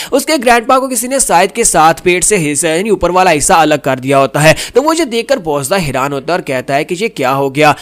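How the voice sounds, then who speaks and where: Over noticeable background noise, a man with a high voice talks with hardly any pauses and very wide pitch swings. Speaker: voice-over narrator. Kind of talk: manhwa recap narration. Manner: casual, conversational storytelling.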